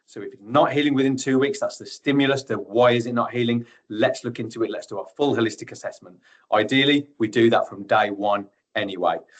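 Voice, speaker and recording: Talking at a very fast pace, a man with a medium pitch shows ordinary pitch variation and big swings in loudness. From Birmingham, England. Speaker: tissue viability nurse. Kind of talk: webinar presentation. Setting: online webinar.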